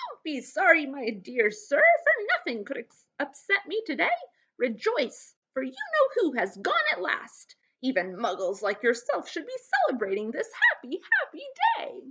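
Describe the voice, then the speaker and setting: Using a put-on character voice, a woman sounds squeaky and high-pitched at a moderate pace, her pitch swinging very widely. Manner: joyful, effusive.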